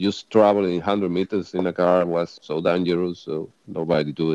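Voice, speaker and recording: A man with a strong non-native accent talks at a moderate pace. His tone is dark and mellow, and the sound is dry and close with no echo. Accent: strong foreign. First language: Spanish. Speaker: former volunteer sniper in Syria. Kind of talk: casual chat. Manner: halting.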